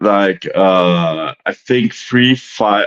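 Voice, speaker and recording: A man speaks with a slight German accent and ordinary pitch variation. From Germany. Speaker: livestream panel guest. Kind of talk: casual chat. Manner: halting, many restarts and fillers.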